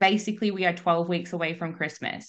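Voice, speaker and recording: There is a quiet background. A woman talks in an Australian accent. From Australia, Melbourne. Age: 30s. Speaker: coach. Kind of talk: casual chat. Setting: video call.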